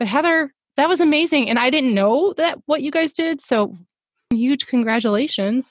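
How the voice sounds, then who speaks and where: At a moderate pace, a woman with an American accent speaks in a high voice with lively intonation, very even loudness, and a dry, close sound with no echo. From US South. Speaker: podcast co-host. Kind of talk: casual chat.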